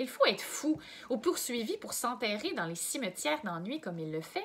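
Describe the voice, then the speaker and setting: Pitch swings very widely at a moderate pace, with noticeable background noise behind the speech. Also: woman, high pitch for a woman. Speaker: volunteer reader. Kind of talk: reading aloud.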